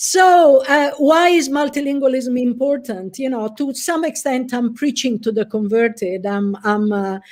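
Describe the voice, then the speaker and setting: A high-pitched woman's voice with an Italian accent, lively in intonation and fairly slow in pace, on a very clean recording with a silent background. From Italy. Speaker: professor. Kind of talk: lecture.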